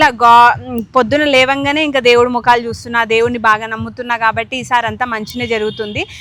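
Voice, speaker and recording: Her voice is bright and sharp in tone. This woman speaks at a high pitch with fairly even intonation. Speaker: family vlogger. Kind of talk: casual vlog talk to camera. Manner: like a news reader.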